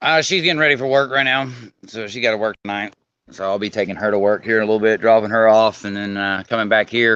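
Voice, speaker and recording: A man with an Arkansas accent speaks in a fairly low pitch with a bright, sharp tone. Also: ordinary pitch variation, quiet background. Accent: Arkansas country drawl. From California. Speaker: co-host, house painter. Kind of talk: casual chat. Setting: video call.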